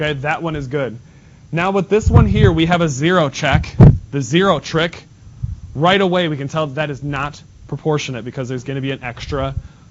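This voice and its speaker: A man with a fairly high pitch and ordinary pitch variation talks against noticeable background noise. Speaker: math teacher. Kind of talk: classroom lesson. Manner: fast.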